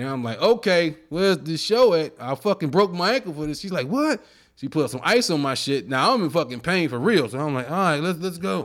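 Against a very clean recording with a silent background, a man speaks with a fairly high pitch and an animated tone. His fairly quick delivery has very wide pitch swings. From Chicago. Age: 40s. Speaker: comedian. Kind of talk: casual chat.

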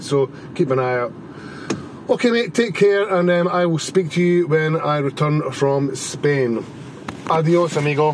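Fairly slow, fairly high-pitched speech from a man, with ordinary pitch variation over noticeable background noise. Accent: Scottish. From Scotland. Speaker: listener caller, bartender. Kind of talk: voicemail message.

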